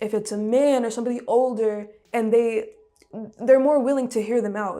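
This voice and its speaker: Against music in the background, a woman with a New York accent and a fairly high pitch speaks at a moderate pace with fairly even intonation. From Brooklyn, New York. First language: Russian. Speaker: musician. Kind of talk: interview. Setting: studio.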